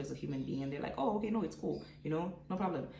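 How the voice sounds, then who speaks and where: Her voice very deep and low, a woman speaks with lively intonation amid audible room echo and noticeable background noise. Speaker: vlogger. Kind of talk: casual vlog monologue.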